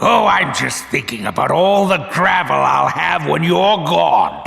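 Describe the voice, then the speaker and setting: This man delivers a put-on character voice, taking a fairly slow pace. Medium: machinima.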